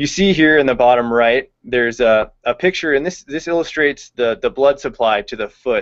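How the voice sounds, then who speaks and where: Against a quiet background, a man talks at a moderate pace with hardly any pauses and ordinary pitch variation. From California, Visalia; California. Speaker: veterinary intern; presenter. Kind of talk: webinar lecture. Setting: online video hangout. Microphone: video call.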